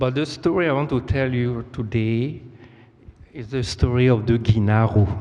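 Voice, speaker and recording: This man speaks at a medium pitch with a non-native accent. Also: ordinary pitch variation, moderate pace. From Côte d'Ivoire. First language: French. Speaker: storyteller. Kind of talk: storytelling performance. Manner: halting.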